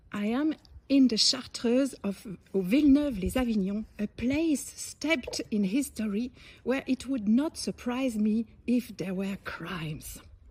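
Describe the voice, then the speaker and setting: A woman with a French accent, a fairly high pitch and lively intonation, at a fairly slow pace. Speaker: interviewer. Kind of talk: casual talk to camera.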